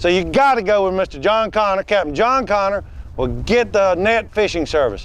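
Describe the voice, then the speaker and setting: A man talks with an American accent. His pitch is high, with ordinary pitch variation. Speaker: comedian and fishing show host. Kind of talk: comedy bit and fishing show chat. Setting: outdoors on a boat in salt marshes.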